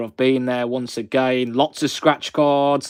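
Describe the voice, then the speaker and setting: In a monotone, flat delivery, a man at medium pitch speaks at a fairly slow pace. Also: very clean recording, silent background. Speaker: YouTuber scratching lottery cards. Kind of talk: live stream chat. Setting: live stream on camera. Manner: casual, chatty.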